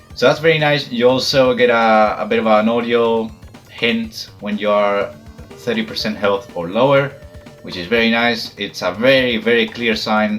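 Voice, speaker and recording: There is music in the background. A man delivers his words at a moderate pace. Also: medium pitch for a man, ordinary pitch variation. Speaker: gamer, fighting game player. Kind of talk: casual talk to camera, game review. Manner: casual, hesitant.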